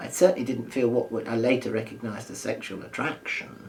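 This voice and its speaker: Through noticeable background noise, a man is heard talking. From London. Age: 70s. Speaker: retired primary school teacher. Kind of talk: oral history interview answer.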